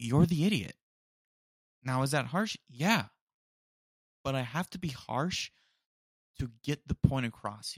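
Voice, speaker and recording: A man with a fairly high voice speaks fairly slowly, leaving long, frequent pauses. His intonation is lively, his loudness swings widely, and the sound is dry and close with no echo. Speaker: podcast host. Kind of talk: casual solo chat.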